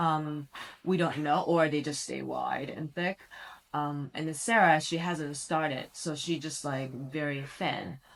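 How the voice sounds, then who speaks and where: A woman speaks at a fairly slow pace with fairly even intonation. Her pitch is very deep and low. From Japan. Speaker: pilates teacher. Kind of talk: casual chat.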